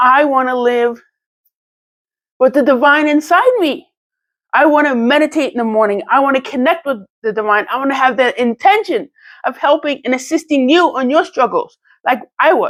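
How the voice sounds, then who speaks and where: A woman speaks with a high pitch and ordinary pitch variation. She leaves long, frequent pauses. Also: very clean recording, silent background. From New York. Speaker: channel owner, motivational vlogger. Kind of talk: personal testimony monologue. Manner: fast; halting, self-correcting.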